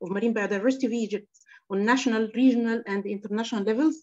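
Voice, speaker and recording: A woman speaks with an Arabic accent and fairly even intonation. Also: quiet background. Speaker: workshop moderator. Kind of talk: formal moderation. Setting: video call. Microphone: video call.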